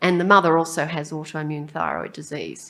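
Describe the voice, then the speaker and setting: At a moderate pace, a woman speaks with a very deep, low pitch and ordinary pitch variation. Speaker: pediatric endocrinologist and professor. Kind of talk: conference lecture. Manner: hesitant, many ums.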